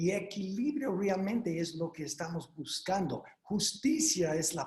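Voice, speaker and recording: A man with an American accent, lively intonation and a fairly slow pace. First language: English (speaking Spanish). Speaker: doctor speaking at a legal webinar. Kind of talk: webinar presentation. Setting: online video conference. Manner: halting, with fillers and repeats.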